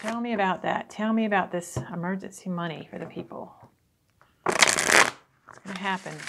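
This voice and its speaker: A woman's medium-pitched voice at a moderate pace, with ordinary pitch variation, big swings in loudness and loud background noise. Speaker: tarot reader. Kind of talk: tarot reading talk to camera. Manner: casual. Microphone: phone near.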